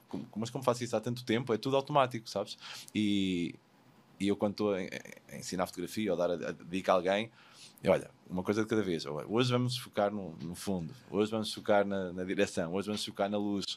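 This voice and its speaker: Talking at a fairly quick pace, a man has a normal speaking voice, fairly low in pitch, with ordinary pitch variation. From Portugal. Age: 40s. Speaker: wedding photographer. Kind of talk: casual interview. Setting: studio.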